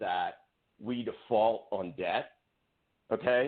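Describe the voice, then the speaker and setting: A man speaks in an animated tone at a medium pitch. His pace is fairly slow. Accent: American. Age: 60s. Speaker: political candidate, entrepreneur. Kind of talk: radio interview.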